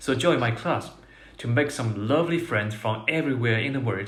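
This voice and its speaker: With audible room echo, a somewhat breathy man talks at a moderate pace with ordinary pitch variation. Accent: Chinese. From China. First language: Mandarin Chinese. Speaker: Chinese language teacher. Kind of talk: self-introduction.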